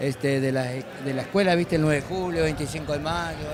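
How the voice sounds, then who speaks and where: A man's fairly high-pitched voice, with ordinary pitch variation, is heard through noticeable background noise. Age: 70s. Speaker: chamamé musician. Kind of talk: interview. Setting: festival.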